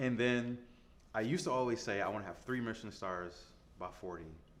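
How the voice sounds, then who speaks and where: Amid audible room echo, a man with an American accent speaks at a moderate pace and medium pitch with lively intonation. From US Midwest, Detroit. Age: 30s. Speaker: chef. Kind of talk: interview. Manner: casual, filler-heavy.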